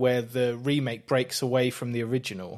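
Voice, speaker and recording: A man with an English accent speaks at a medium pitch and a moderate pace. The recording is very clean with a silent background. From England. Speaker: podcast co-host. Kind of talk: casual chat.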